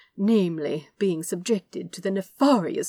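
Quiet surroundings behind a natural reading voice

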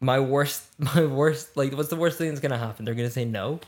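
A man with a Scottish accent. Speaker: actor. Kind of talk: casual chat.

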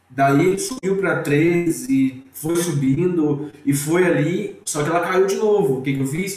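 Noticeable background noise and audible room echo fill the recording. A man talks fairly slowly. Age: 20s. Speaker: IT manager, investing student. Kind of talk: casual interview.

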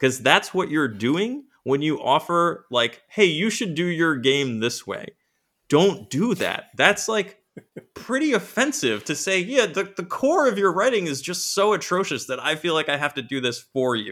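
Bright, sharp delivery in an American accent, fairly slow, with very wide pitch swings. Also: man, high pitch for a man. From US Northeast, Rhode Island. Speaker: board game designer. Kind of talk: casual interview.

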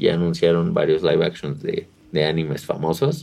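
A man speaks in a Mexican accent. His pace is fairly quick. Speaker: podcast co-host. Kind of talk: casual chat. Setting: video podcast recording.

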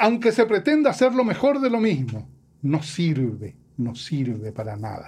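A man's fairly high voice with very wide pitch swings, at a fairly slow pace. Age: 60s. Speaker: professor and musician. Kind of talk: interview.

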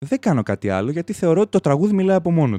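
A man's fairly high voice with an animated tone, very wide pitch swings and a very fast pace, in a dry, close sound with no echo. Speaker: podcast host. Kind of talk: casual chat.

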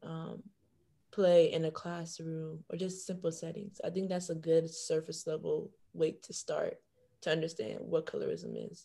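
Speaking at a fairly slow pace with an American accent, a woman has a dark, mellow tone. Her voice is somewhat breathy and her intonation fairly even. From Florida, Broward County (Haitian family). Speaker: university student, panelist. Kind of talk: casual chat. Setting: video call.

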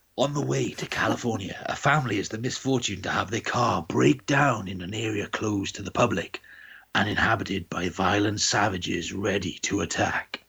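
A raspy, put-on character voice from a man, fairly low-pitched with lively intonation at a moderate pace. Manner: dramatic, announcer-like.

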